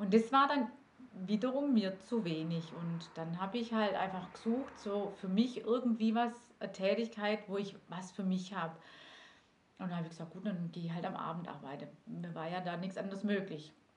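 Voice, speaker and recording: With audible room echo, a woman speaks at a moderate pace and medium pitch, somewhat breathy, with ordinary pitch variation. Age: 40s. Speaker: direct sales manager. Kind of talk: interview.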